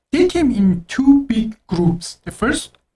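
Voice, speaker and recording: A woman with an Azerbaijani accent speaks at a fairly slow pace in a somewhat breathy voice. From Azerbaijani background. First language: Azeri Turkish. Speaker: doctor, podcast co-host. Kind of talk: casual chat. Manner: halting.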